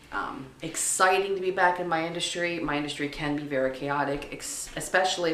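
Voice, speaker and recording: Noticeable background noise and audible room echo around a woman speaking at a moderate pace with ordinary pitch variation. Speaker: vlogger, travel industry worker. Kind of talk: casual vlog monologue.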